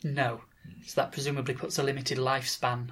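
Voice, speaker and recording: A man talks at a fairly quick pace in an ordinary speaking voice. His pitch is medium and his intonation fairly even. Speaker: podcast interviewer and astronomer. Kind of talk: interview.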